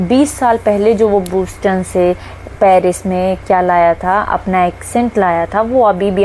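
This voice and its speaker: A woman in a Haryanvi accent speaks at a medium pitch with ordinary pitch variation against noticeable background noise. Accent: Haryanvi tone in Hindi and English. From Haryana, India. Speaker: English teacher. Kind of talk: lecture. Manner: halting, with fillers.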